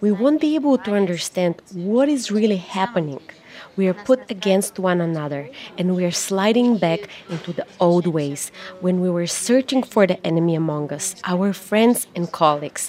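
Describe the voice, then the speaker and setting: A woman with a Russian accent at a moderate pace, lively in intonation, with noticeable background noise. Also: medium pitch for a woman. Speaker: investigative journalist and activist. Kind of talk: interview. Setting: coffee shop.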